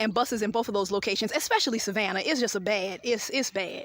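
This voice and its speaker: Fairly high-pitched, a woman speaks in a Southern US accent at a very fast pace. Her tone is animated and her pitch variation ordinary. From US South. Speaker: travel vlogger. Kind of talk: casual vlog narration. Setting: outdoors.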